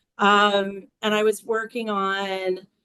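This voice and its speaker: A woman of medium pitch speaks with monotone, flat intonation. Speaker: domestic violence survivor and advocate. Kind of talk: interview, casual chat. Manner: halting, many fillers.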